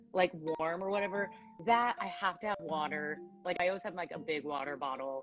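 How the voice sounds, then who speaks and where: Lively intonation at a fairly quick pace, with music in the background. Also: woman, fairly low pitch for a woman. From US West Coast, Los Angeles. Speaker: actress and voice actor. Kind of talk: interview.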